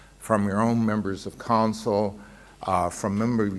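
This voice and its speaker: A man with an American accent, a fairly low pitch and fairly even intonation, at a moderate pace, with audible room echo. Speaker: urban planning professor and commissioner. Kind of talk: keynote speech at a business lunch. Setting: stage at a lunch event with audience.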